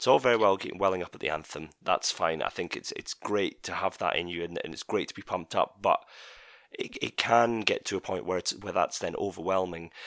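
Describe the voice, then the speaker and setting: A man speaks at a very fast pace with a Scottish accent. The recording is very clean, with a silent background. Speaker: podcast host. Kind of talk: casual chat. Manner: animated.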